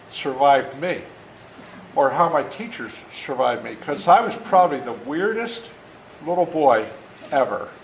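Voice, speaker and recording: A man's American accent at a fairly slow pace, fairly high in pitch and animated in tone, with very wide pitch swings, audible room echo and noticeable background noise. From rural US, dairy farm. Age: 70s. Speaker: author reading to children. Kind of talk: reading aloud. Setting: classroom with children. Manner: animated, engaging with kids.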